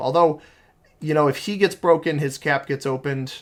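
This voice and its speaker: Speaking at a moderate pace, a man talks in an American accent. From United States. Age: 20s. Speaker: video game streamer. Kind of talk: live gameplay commentary. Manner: casual, with many fillers.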